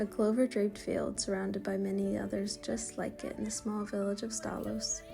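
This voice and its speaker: A woman's calm tone at a moderate pace, with music in the background. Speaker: travel filmmaker. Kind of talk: travel vlog voice-over narration. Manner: calm, reflective.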